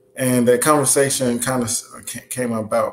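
Somewhat breathy, a man talks at a moderate pace with light background noise. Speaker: livestream host. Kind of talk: lecture. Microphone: webcam.

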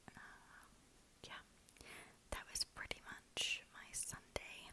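A woman whispers in a relaxed tone at a very slow pace. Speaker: ASMR creator who works in human resources. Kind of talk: ASMR whisper ramble. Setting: lo-fi home recording. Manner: whispered, relaxed, rambling. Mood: relaxed, smiling. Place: home room. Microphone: earbuds.

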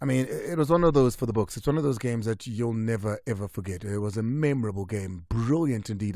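At a very fast pace, a man talks at a medium pitch with ordinary variation and a dark, mellow tone, in dry sound with no echo against a quiet background. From South Africa. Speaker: sports radio host. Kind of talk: live radio sports show. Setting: radio studio. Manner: animated. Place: studio. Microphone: studio mic.

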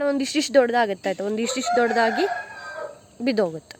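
Over noticeable background noise, a woman speaks in a fairly high pitch with ordinary pitch variation. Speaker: vlogger. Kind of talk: casual vlog. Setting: outdoors in garden.

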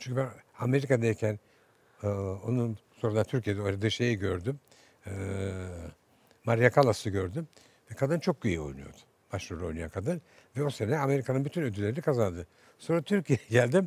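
A man's voice is somewhat breathy with lively intonation. He leaves long, frequent pauses. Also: medium pitch for a man, fairly quick pace, dry sound with no echo. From Istanbul, Turkey. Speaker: theatre director. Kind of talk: interview answer. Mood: warm, hopeful reminiscing. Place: studio.

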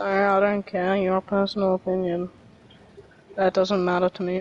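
A woman uses a put-on, robotic character voice at a medium pitch. She keeps a moderate pace and monotone, flat intonation. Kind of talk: dismissive, blunt. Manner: monotone, flat, robotic.

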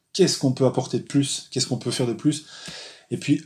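Here a man is talking. His intonation is fairly even. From Belgium, Charleroi. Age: 40s. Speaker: graphic designer and zine maker. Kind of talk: interview. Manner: halting, many hesitations.

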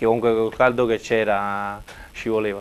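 The speaker is a man with medium pitch. His intonation stays monotone and flat. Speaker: football player. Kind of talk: TV interview. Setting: TV studio. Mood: grateful, calm. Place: studio.

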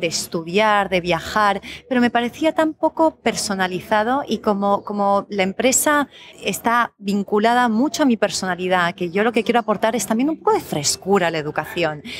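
A woman with a Spanish accent, fairly high in pitch, with lively intonation, very even loudness and a moderate pace. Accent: Spanish (Spain). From Colombia (Bogotá), raised abroad. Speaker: educational consultant. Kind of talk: interview. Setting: café.

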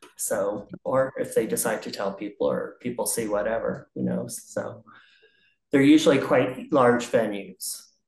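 Recorded with audible room echo, a man talks at a fairly slow pace. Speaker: interviewee. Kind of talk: interview answer. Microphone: video call.

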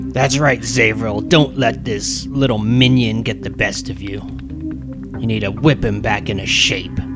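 A man's put-on character voice at a fairly slow pace, over loud music in the background. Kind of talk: villainous taunting. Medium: actual play. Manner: mocking, domineering.

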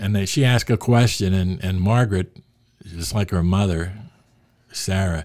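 A man with an American accent speaks in a dark, mellow tone over a quiet background. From Pittsburgh, Pennsylvania. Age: 70s. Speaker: sports writer and author; podcast guest. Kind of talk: casual interview conversation. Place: studio. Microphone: studio mic.

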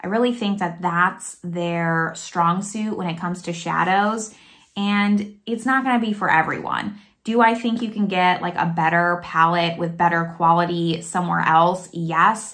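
A woman with an American accent, fairly low in pitch, with ordinary pitch variation, at a fairly slow pace, over a quiet background. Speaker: beauty YouTuber. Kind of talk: product review video. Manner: casual, chatty. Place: home room. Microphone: phone near.

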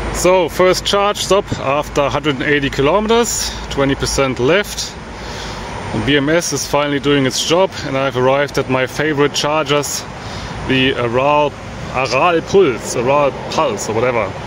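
A man talks at a moderate pace with ordinary pitch variation, the sound dry with no echo but noticeable background noise behind him. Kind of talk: casual vlog chat. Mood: relaxed, pleased. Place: car. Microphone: phone near.

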